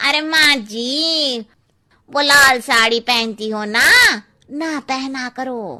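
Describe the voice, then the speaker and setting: A cartoonish character voice from a woman, high in pitch and very slow in pace. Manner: blunt, cheeky.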